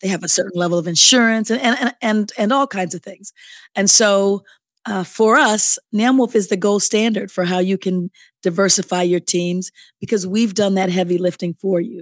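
This is an unremarkable speaking voice with ordinary pitch variation. The sound is dry and close, with no echo. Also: woman, medium pitch for a woman, moderate pace, very clean recording, silent background. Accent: American. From Chicago. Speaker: nonprofit association CEO. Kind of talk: interview.

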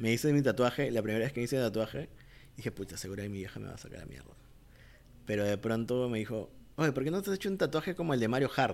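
This man speaks at a very fast pace with lively intonation. His pitch is medium. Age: 30s. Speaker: commercial filmmaker. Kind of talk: casual chat.

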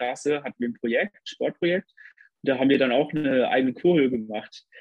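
An ordinary speaking voice, a man with fairly high pitch, ordinary pitch variation and a fairly quick pace. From southwest Germany, Lörrach area. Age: 20s. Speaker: nurse and dancer. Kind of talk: casual interview chat.

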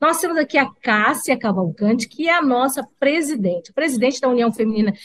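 Speaking with a Brazilian accent, a woman talks at a moderate pace in a high pitch with very wide pitch swings. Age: 50s. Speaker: talk show host. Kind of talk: live talk show chat. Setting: studio. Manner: talkative; animated.

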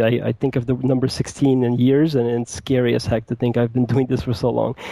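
A plain, everyday voice with an American accent at a fairly quick pace. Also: man. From New York. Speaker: product manager. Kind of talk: interview.

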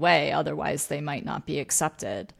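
A woman with an American accent speaks at a moderate pace in fairly even intonation. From Vermont, US. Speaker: podcast host and leadership coach. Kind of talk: interview conversation.

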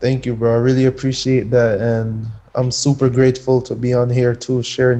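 A man with an American accent speaks at a moderate pace in a medium pitch. His tone is dark and mellow, his intonation monotone and flat. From Jamaica until age eight, then Connecticut, US. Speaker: professional soccer player. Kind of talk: interview. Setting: video call. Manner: casual, filler-heavy.

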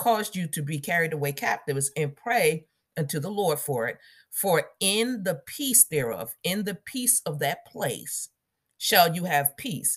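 A woman's fairly low, warm, somewhat breathy voice with very wide pitch swings at a fairly slow pace, in a very clean recording with a silent background. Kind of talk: devotional Bible teaching and fervent prayer. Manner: fervent, commanding prayer; warm, casual, self-correcting, laughs.

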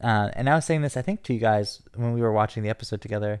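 In a very clean recording with a silent background, a man at medium pitch sounds animated, with ordinary pitch variation. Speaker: podcast host. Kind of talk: casual banter, podcast recap. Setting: live recording, podcast. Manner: animated, campy.

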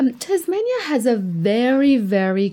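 A woman with a Persian accent at a very slow pace, with lively intonation. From Iran, Tehran. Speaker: immigrant interviewee. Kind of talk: casual interview.

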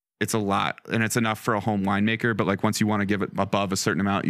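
A man with an American accent speaks at a very fast pace and a fairly low pitch, with vocal fry. His intonation is fairly even, on a very clean recording with a silent background. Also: hardly any pauses, very even loudness. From Colorado. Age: 20s. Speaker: winemaker. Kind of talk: casual chat.

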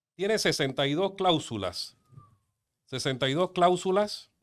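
The recording is very clean, and the background is silent. A man's pitch swings very widely as he speaks. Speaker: lawyer. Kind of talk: interview. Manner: animated.

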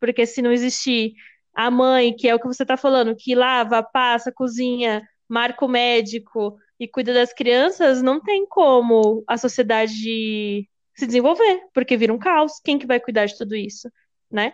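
A woman talks at a fairly slow pace in a high voice. Her pitch varies in an ordinary way, and the background is quiet. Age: 20s. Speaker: podcast co-host. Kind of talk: casual chat.

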